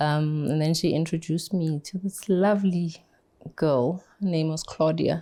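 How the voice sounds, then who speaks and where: Soft-spoken and fairly slow, a woman talks at a very deep, low pitch with fairly even intonation and a dark, mellow tone. The recording is very clean, with a silent background. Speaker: cancer survivor, foundation founder. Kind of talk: interview testimony.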